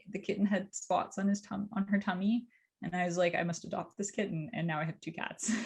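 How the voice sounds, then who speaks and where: At a fairly quick pace, a woman with a Canadian accent speaks in a somewhat breathy voice of medium pitch and fairly even intonation. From Canada. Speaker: cybersecurity company CEO. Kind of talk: interview, casual chat.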